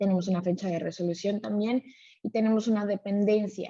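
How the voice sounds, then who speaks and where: A woman's dark, mellow, somewhat breathy voice at medium pitch, moderate pace and ordinary pitch variation. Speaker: software trainer. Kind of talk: live webinar tutorial. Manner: frequent filler 'eh' hesitations.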